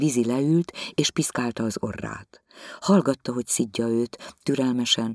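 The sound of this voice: Quiet background behind an unforced reading voice of ordinary pitch variation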